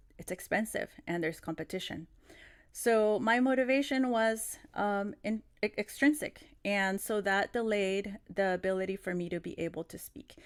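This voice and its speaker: Over a very clean recording with a silent background, a woman speaks at medium pitch in a Spanish accent, her loudness swinging widely. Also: ordinary pitch variation, moderate pace. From Mexico City, Mexico, moved to California as a child. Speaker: teacher trainer. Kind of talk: conference plenary talk. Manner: hesitant, many fillers and restarts.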